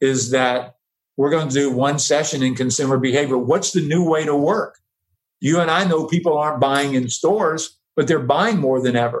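In an American accent, a man with an unremarkable speaking voice talks at a moderate pace, his pitch fairly high with ordinary variation. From US South. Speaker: professor and advertising executive. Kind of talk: casual chat.

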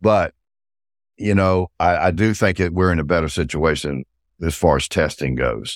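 In a very clean recording with a silent background, a man with a Southern US accent speaks in a very deep, low pitch with vocal fry and very even loudness. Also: ordinary pitch variation, moderate pace, dry, close sound with no echo. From South Carolina, US South. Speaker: cannabis brand CEO and former smuggler. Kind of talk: casual interview chat.

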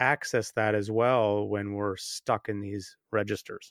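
A man with an unremarkable speaking voice and fairly low pitch talks at a moderate pace. The sound is dry and close with no echo, over a quiet background. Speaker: podcast co-host and meditation teacher. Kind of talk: casual chat.

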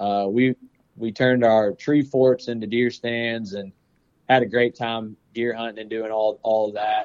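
A man talks in a Southern US accent at medium pitch. His intonation is monotone and flat. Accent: Southern US (Georgia). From Georgia, US South (Powder Springs near Atlanta). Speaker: forester and bird hunter. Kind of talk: casual chat.

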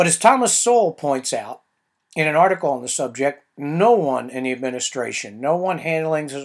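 This man talks in a fairly high pitch. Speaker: podcast host, political commentator. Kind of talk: scripted political commentary podcast, opinionated. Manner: sarcastic, opinionated.

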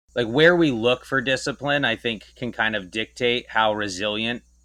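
The pace is fairly slow. It is a normal speaking voice. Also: man. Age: 30s. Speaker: writer and retail visual merchandiser. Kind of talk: casual interview conversation.

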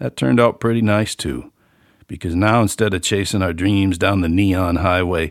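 In a relaxed tone, a man with a very deep, low voice speaks at a moderate pace on a very clean recording with a silent background. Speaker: author and musician, podcast host. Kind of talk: casual solo monologue, reading an essay. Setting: home studio, room above garage. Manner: relaxed, folksy, conversational.

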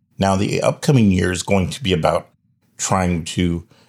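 The recording is very clean, and the background is silent. A man talks at a moderate pace, his pitch very deep and low. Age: 50s. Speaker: religious ministry leader and podcast host. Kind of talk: podcast monologue.

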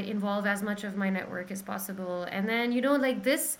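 There is audible room echo as a woman speaks with lively intonation. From Pakistan. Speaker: singer-songwriter. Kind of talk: casual chat.

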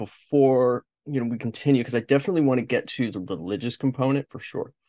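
Talking at a very fast pace with an American accent, a man uses a medium pitch and ordinary pitch variation in a dry, close sound with no echo on a very clean recording with a silent background. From Los Angeles, US. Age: 40s. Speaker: podcast host. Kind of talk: interview conversation.

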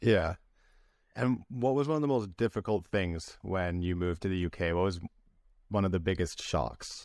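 A man's very deep, low voice with a Canadian accent, lively intonation and a moderate pace. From British Columbia, Canada. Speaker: podcast host. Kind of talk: interview; scripted intro.

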